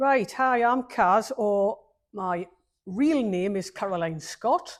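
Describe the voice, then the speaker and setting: With a northeast English accent, a woman speaks very slowly at a fairly high pitch, her intonation lively. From northeast England, Newcastle upon Tyne. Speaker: bonsai exhibitor and teacher. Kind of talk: casual interview. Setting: bonsai nursery event. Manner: hesitant, many ums.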